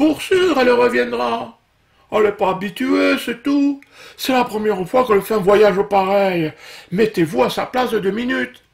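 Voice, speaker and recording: A man puts on a character voice with a high pitch. His intonation is lively and his pace moderate. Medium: read story.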